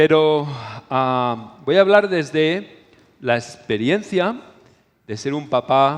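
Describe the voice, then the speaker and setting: The man's speech unfolds very slowly. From Spain. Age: 60s. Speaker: preacher / conference speaker. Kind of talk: sermon.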